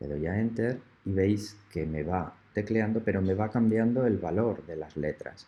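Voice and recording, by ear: Low-pitched male voice with a slightly husky edge, ordinary pitch variation and a moderate pace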